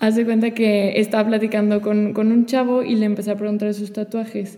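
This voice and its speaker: A fairly high-pitched woman at a moderate pace. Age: 20s. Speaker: teacher and florist. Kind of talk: testimony in casual conversation.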